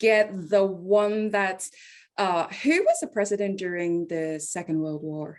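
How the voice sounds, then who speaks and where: The pace runs fairly slow. A non-native accent shapes the speech. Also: woman, medium pitch for a woman, ordinary pitch variation, quiet background. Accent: noticeable non-native. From Hong Kong. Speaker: tech company executive. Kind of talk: interview chat. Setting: video call.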